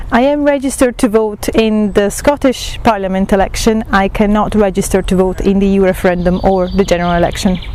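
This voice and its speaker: Speaking very fast in an Italian accent with hardly any pauses, the voice keeps very even loudness and ordinary pitch variation over noticeable background noise. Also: woman, medium pitch for a woman. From Italy. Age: 20s. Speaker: student. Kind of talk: interview answers. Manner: hesitant, many fillers.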